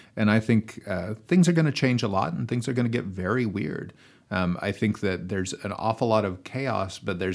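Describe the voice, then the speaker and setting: On a very clean recording with a silent background, a man with a normal speaking voice talks at a fairly quick pace, his fairly low pitch carrying lively intonation. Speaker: English professor. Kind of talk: panel discussion. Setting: studio.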